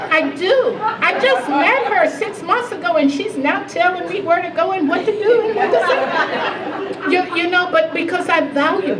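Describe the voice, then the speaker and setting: With crowd noise in the background and audible room echo, a woman with an American accent speaks with lively intonation. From US South. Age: 70s. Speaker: health advocacy leader, keynote speaker. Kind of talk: Q&A after keynote speech. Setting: lunch event with audience. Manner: halting.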